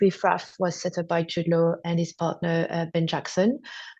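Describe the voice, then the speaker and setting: A woman with a French accent speaks at a moderate pace against a quiet background. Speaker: TV acquisitions executive. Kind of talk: interview.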